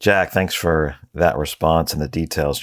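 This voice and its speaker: Speaking with an American accent, a man uses a very deep, low pitch with vocal fry, fairly even intonation and a moderate pace on a very clean recording with a silent background. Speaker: treasury podcast host. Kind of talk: interview podcast. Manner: hesitant, many fillers.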